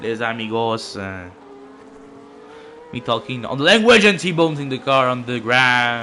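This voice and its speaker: A man with a Quebec accent speaks at a moderate pace with lively intonation, long and frequent pauses, and big swings in loudness. Audible room echo and noticeable background noise fill the recording. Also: medium pitch for a man. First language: French. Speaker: sim racing commentator. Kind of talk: live commentary. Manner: halting.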